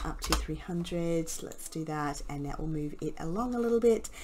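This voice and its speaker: There is noticeable background noise behind a woman. She speaks at a fairly slow pace with lively intonation. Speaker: YouTube graphic design tutor. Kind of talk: tutorial. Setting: home studio. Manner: halting, many fillers. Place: home room.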